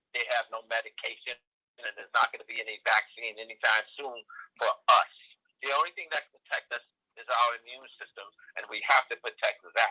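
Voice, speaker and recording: A man with a New York accent talks at a fairly quick pace, his loudness swinging widely, in a dry, close recording with no echo. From New York City, South Bronx. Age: 80s+. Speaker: nutrition and agriculture advocate. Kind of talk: interview.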